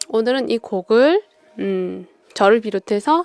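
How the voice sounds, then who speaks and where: A woman at a very slow pace, the sound dry and close with no echo. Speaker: radio-style talk host. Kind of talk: casual monologue.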